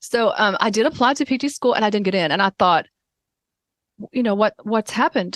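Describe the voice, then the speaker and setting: Lively intonation comes through in a Southern US accent, recorded dry and close with no echo. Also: woman. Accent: rural Southern US accent, embraced. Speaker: occupational therapist. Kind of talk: interview. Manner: casual, halting with fillers.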